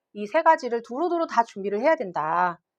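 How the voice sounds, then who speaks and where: A woman speaks at a fairly quick pace with very wide pitch swings, recorded in a dry, close sound with no echo. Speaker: English academy teacher. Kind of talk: parent information session presentation. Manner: fast.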